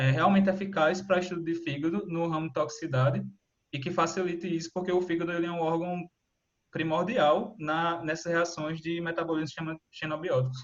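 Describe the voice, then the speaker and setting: Intonation stays fairly even while the words come at a fairly quick pace. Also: man, high pitch for a man. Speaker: student researcher presenting seminar. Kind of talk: online seminar presentation. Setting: video call. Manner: fast.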